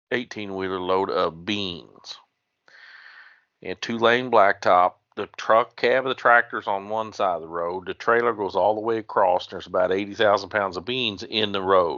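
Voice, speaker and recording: Here a man with an American accent talks in a plain, everyday voice. His pitch is fairly low, his intonation fairly even, and his pace moderate. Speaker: former police officer. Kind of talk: podcast storytelling. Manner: casual, humorous.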